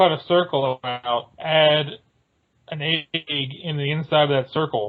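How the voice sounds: At a fairly slow pace, a man speaks with a fairly high pitch and ordinary pitch variation.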